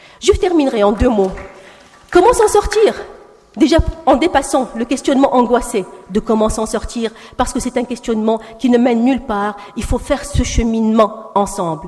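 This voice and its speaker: Against noticeable background noise, a woman with a high pitch and lively intonation speaks at a moderate pace, with long, frequent pauses and big swings in loudness. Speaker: panelist at round table. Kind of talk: panel speech.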